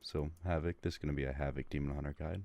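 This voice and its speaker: A man with fairly even intonation at a fairly quick pace. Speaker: gaming guide creator. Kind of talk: tutorial. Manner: casual, filler-heavy.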